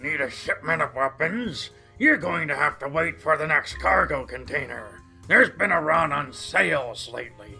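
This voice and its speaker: A man uses a put-on character voice at a fairly high pitch. He keeps a moderate pace while faint music plays in the background. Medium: audio drama. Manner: smug, mocking.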